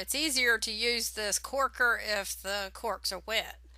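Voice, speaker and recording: At a fairly slow pace, a woman speaks with vocal fry at a fairly high pitch. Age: 60s. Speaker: home winemaking video maker. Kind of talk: tutorial. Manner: casual, with filler words.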